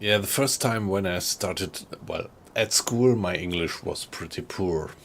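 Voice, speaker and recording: Fairly slow, fairly low-pitched man with a German accent and ordinary pitch variation over noticeable background noise. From Germany, Frankfurt area. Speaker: gaming streamer. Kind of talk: casual chat. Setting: live stream. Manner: halting.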